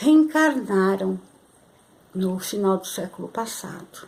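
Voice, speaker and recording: A somewhat breathy woman's voice at medium pitch, very slow in pace, with lively intonation. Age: 60s. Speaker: spiritual channel host. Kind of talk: spiritual talk to camera. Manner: halting, many fillers.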